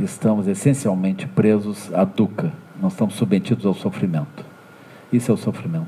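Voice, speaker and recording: Fairly low in pitch, a man talks at a moderate pace. Noticeable background noise runs underneath. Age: 60s. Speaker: Buddhist teacher. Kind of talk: dharma talk. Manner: halting, frequent fillers.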